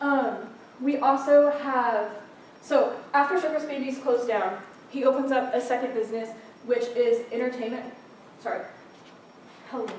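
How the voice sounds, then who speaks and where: In a room with audible echo, a woman with a high pitch talks at a moderate pace with fairly even intonation and long, frequent pauses. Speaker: club meeting presenter. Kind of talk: informal presentation to a group.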